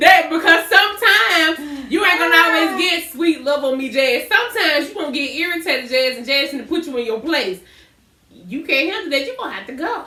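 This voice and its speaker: A woman projects her voice at an extremely high pitch, fairly quick and animated with lively intonation, over noticeable background noise. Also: big swings in loudness. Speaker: podcast co-host. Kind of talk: casual chat. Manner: loud.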